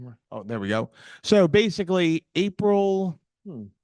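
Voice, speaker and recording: A man speaks with a Boston accent at a fairly high pitch. His pitch swings very widely, and the sound is dry and close with no echo. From Boston area. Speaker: security presenter. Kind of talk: presentation at meetup. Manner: halting.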